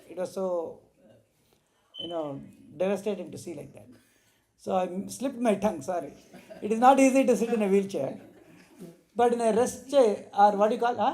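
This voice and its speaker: The voice has a dark, mellow tone and a fairly quick pace, with big swings in loudness. Its intonation is lively, broken by long, frequent pauses. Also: man, high pitch for a man. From India. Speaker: spiritual teacher. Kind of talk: religious discourse.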